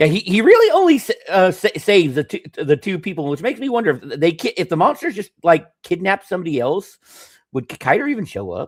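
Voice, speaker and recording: Talking at a very fast pace, a man with a high voice sweeps through very wide pitch swings and big shifts in loudness, recorded dry and close with no echo in a very clean, silent setting. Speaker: podcast host. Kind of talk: casual chat. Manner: halting, stammering.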